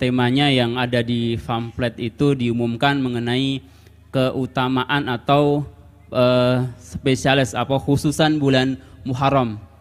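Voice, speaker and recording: A man speaks at a fairly slow pace. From Central Java, Indonesia. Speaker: moderator and Islamic teacher; moderator, Islamic teacher. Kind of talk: event moderation. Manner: animated. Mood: polite, formal religious tone. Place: stage. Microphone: handheld.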